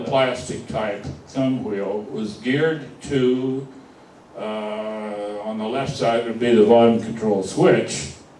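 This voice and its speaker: A man at a very slow pace over noticeable background noise. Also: medium pitch for a man, ordinary pitch variation. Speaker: car radio repairman. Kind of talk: lecture to a club audience.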